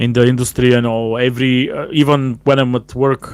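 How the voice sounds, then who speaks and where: In a non-native accent, a man speaks at a moderate pace and medium pitch with monotone, flat intonation. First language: not English. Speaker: cigar show host, cigar lounge worker. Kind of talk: live stream casual talk. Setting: live stream, no proper mic. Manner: halting, many fillers.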